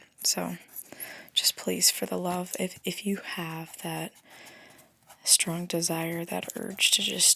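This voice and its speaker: A soft-spoken woman talks at a very slow pace. Long, frequent pauses break up her speech. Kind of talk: ASMR soft-spoken rambling. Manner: casual, rambling.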